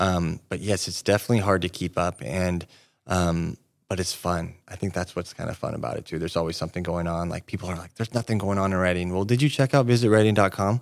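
A man with a very deep, low voice talks at a very fast pace with ordinary pitch variation, in a very clean recording with a silent background. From Northern California, Siskiyou County. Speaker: tourism marketing director. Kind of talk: interview.

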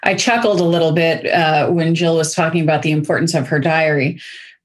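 In an American accent, a woman speaks with a normal speaking voice at a moderate pace. Her pitch sits fairly low. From St. Louis, US Midwest.

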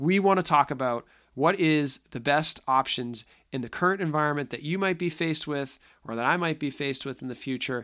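Fairly high in pitch, a man speaks with a slight Boston accent and a bright, sharp tone. He keeps ordinary pitch variation and a fairly quick pace on a very clean recording with a silent background. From Boston area, US Northeast. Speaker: podcast host, tech solutions executive. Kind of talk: casual solo podcast monologue. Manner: filler-heavy, conversational.

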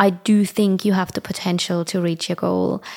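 A woman with a German accent speaks at a moderate pace in a medium-pitched voice. The very clean recording has a silent background and a dry, close sound with no echo. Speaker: fitness and lifestyle podcaster. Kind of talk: casual monologue.

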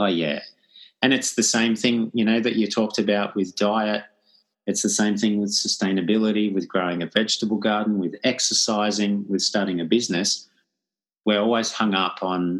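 A man speaks in a plain, everyday voice, fairly low in pitch and at a moderate pace. His loudness stays very even, his intonation is fairly even, and the background is quiet. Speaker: podcast host. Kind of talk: casual chat.

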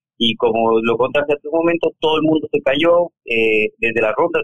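A man is speaking. He goes at a fairly quick pace. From Ecuador, Cuenca. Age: 40s. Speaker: cyclist and cycling coach. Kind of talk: casual interview.

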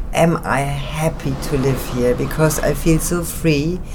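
Flat, monotone delivery in a German accent at a fairly slow pace, with noticeable background noise. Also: woman. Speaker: actress and theater artist. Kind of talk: interview.

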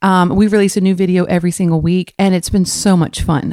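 In a dry, close sound with no echo, a woman speaks at a moderate pace and medium pitch with fairly even intonation. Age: 30s. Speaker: podcast host and wedding photographer. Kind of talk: solo podcast monologue. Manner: chatty, many fillers.

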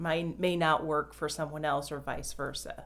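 A woman is talking. Her pace is moderate. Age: 40s. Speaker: health podcast host. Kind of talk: interview.

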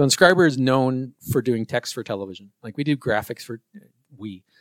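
In a dry, close recording with no echo, a normal speaking voice goes at a moderate pace with big swings in loudness. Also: man. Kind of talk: casual chat. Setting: podcast interview.

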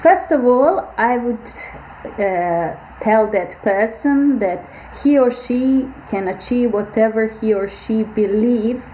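Noticeable background noise runs under a very slow delivery with long, frequent pauses. Pitch varies in an ordinary way. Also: woman. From Bosnia and Herzegovina. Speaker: biomedical AI researcher. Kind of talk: interview.

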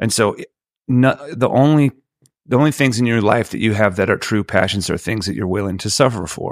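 A man talks at a fairly quick pace with medium pitch and ordinary pitch variation. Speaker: singer-songwriter. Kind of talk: casual chat. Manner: long-winded.

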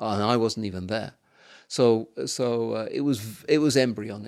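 A man speaks at a medium pitch with an English accent. The recording is very clean, with a silent background. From England. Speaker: missionary and Bible teacher. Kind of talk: interview. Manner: halting.

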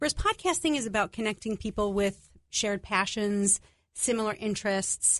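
A woman with a fairly high voice and a New York accent speaks at a moderate pace with ordinary pitch variation and very even loudness, in a dry, close sound with no echo and a quiet background. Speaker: podcast producer. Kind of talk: radio interview. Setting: studio.

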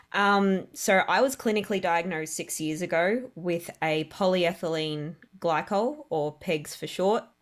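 Recorded very cleanly against a silent background, a woman with an Australian accent speaks at a moderate pace in a fairly low pitch with ordinary pitch variation. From Australia, Melbourne. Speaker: caterer and food truck owner. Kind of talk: interview testimony. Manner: halting, many fillers.

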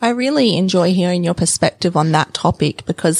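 With an Australian accent and vocal fry, a woman talks at a fairly quick pace in a dry, close recording with no echo. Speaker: podcast host. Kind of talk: interview.

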